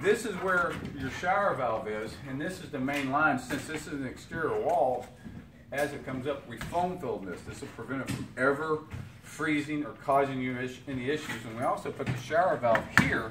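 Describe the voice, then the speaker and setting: A man talks at a fairly high pitch and moderate pace with ordinary pitch variation. Audible room echo and noticeable background noise surround him. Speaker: home builder. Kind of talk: construction site walk-through tour. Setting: house under construction.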